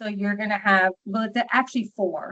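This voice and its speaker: With a New York accent, a woman talks at a fairly high pitch and with fairly even intonation. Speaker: social worker and documentation trainer. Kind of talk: training webinar. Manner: fast.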